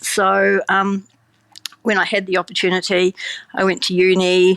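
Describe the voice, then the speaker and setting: In a New Zealand accent, a woman speaks at a fairly slow pace and medium pitch, with a dry, close sound and no echo. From New Zealand, small town. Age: 60s. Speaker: vegan cheese producer, former scientist. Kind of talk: interview. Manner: casual, many fillers.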